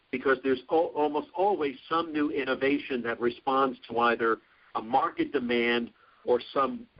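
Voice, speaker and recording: A man with an American accent, medium pitch, ordinary pitch variation, and a fairly slow pace. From Brooklyn, New York. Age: 60s. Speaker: professor. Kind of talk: lecture. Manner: halting, many restarts.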